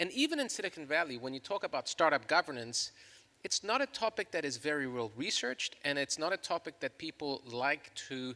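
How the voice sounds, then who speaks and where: A man's fairly high, bright, sharp voice at a fairly quick pace, with lively intonation and a dry, close sound with no echo. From Chile. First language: Spanish. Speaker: law professor. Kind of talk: panel discussion.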